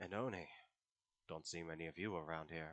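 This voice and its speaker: A man puts on a character voice with very deep, low pitch at a fairly quick pace. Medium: actual play. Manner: calm, dry, unshockable.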